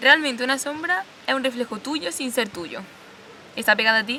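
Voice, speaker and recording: Through noticeable background noise, a woman talks at a moderate pace with ordinary pitch variation. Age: 20s. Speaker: video essayist. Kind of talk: scripted narration.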